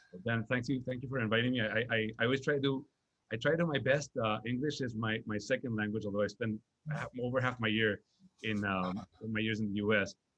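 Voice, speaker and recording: The man talks very fast at a medium pitch. His intonation stays fairly even. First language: Spanish. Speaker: nonprofit executive. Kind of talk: interview. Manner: halting, many fillers and repetitions.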